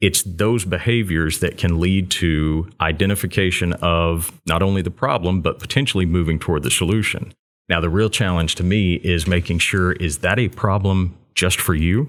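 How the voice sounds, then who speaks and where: With a slight Texan accent, the voice holds a very even loudness on a very clean recording with a silent background. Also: man, very deep, low pitch for a man, ordinary pitch variation, moderate pace. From Texas (Waco). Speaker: entrepreneurship center director. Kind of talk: interview. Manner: consistent, polished delivery.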